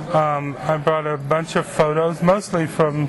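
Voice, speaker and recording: Amid noticeable background noise and audible room echo, a man speaks very slowly at a fairly high pitch in a monotone, flat manner. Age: 50s. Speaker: literacy teacher. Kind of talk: oral history interview. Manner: hesitant, with fillers.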